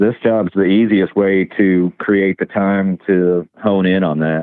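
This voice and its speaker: Delivered at a very slow pace with a Southern US accent, the voice has a calm tone, monotone, flat intonation and very even loudness. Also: man, very deep, low pitch for a man. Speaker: truck driver and artist. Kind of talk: interview. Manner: halting, many fillers.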